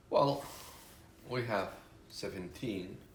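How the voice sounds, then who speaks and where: There is audible room echo as a man speaks in a somewhat breathy voice. His pitch variation is ordinary. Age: 60s. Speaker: retired business consultant. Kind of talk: interview.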